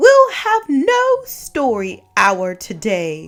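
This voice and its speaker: A woman's put-on character voice, raised and projected, high-pitched and very slow, with faint music in the background. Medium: read story. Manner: harsh, snapping, commanding.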